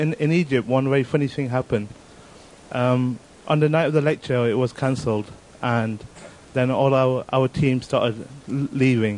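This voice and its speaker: A man's ordinary speaking voice at medium pitch, with fairly even intonation, very even loudness and a moderate pace. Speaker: audience member. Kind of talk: anecdote.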